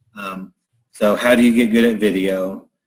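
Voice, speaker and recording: A man's fairly low-pitched voice. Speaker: personal trainer, gym owner. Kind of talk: interview. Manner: slow.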